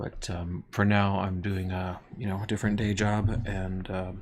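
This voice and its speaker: A soft-spoken man talks at a fairly low pitch. His intonation is monotone and flat. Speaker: sculptor and art teacher. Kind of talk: live stream craft tutorial. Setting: live stream in workspace. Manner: hesitant, many fillers.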